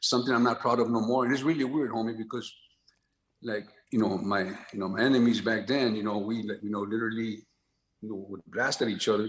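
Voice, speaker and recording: A man in an American accent talks very fast, his medium pitch carried with fairly even intonation. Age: 60s. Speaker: actor. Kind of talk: casual chat. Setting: studio.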